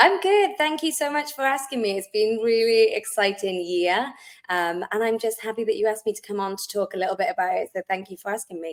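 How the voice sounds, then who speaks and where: This woman speaks with a Welsh accent, her pitch fairly high and her pace fairly quick. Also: lively intonation. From Wales, South Wales. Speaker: wellness company founder, Pilates instructor. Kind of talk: podcast interview.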